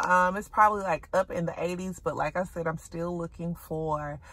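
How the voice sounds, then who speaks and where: With a Southern US accent, a woman talks at a moderate pace in a dry sound with no echo. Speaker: shopping vlogger. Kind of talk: casual vlog chat. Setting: in a thrift store. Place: car. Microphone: phone near.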